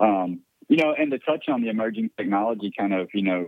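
A man speaks at a moderate pace with an ordinary speaking voice. His pitch is fairly low, with ordinary pitch variation. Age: 40s. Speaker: voice app developer and business owner. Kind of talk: casual interview.

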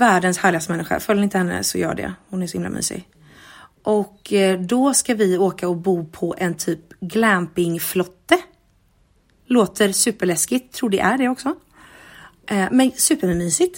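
The recording is very clean, with a silent background. A woman speaks at medium pitch and a moderate pace. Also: ordinary pitch variation. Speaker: podcast host. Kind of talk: casual diary monologue. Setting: at home.

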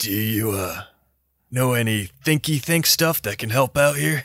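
A man puts on a character voice with lively intonation. He goes at a fairly slow pace. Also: medium pitch for a man. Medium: actual play. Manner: casual, easygoing.

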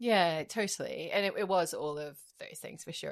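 A woman speaks in an Edinburgh accent in a very clean recording with a silent background. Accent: Scottish (Edinburgh). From Scotland, Edinburgh. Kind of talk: casual chat.

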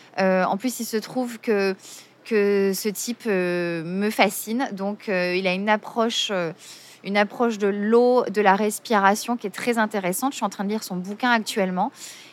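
Against noticeable background noise, a woman of medium pitch talks at a fairly slow pace with fairly even intonation. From Marseille, southern France. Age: 40s. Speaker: yoga teacher. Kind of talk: interview. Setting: outdoors by the sea. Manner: hesitant.

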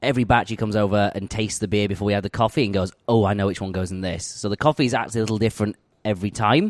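A man with a Yorkshire accent talks very fast in a fairly low pitch, his intonation fairly even. The recording is very clean and dry, close with no echo and a silent background. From northern England, West Yorkshire (Huddersfield). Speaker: head brewer. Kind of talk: casual interview over beers. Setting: brewery tap room.

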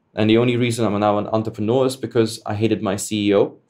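A man with a German accent talks at a fairly quick pace. His fairly low voice stays monotone and flat. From Germany. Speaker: esports entrepreneur. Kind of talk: interview conversation. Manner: hesitant, filler-heavy.

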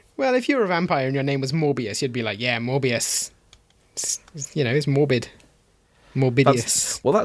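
Fairly slow speech from a man, his pitch shifting in an ordinary way. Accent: British. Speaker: podcast co-host. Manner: sardonic, dry humor.

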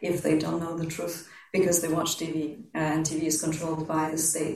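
There is audible room echo and noticeable background noise. The speaker is a woman. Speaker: historian and writer. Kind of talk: panel discussion.

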